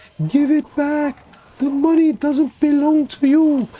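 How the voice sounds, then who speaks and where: The speaker uses a put-on character voice pitched high. The pace is fairly slow. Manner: ghostly, eerie.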